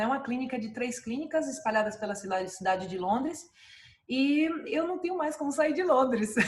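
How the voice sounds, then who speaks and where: A woman speaks at a high pitch with lively intonation and a moderate pace. Audible room echo surrounds her voice. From Brazil, Salvador, Bahia. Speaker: dentist and clinic owner. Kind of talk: interview. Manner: many fillers and hesitations.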